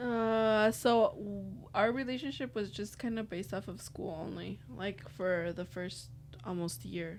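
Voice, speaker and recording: Her intonation rises and falls in a lively way. The woman talks with a Spanish accent. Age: 20s. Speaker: podcast guest. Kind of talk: casual chat.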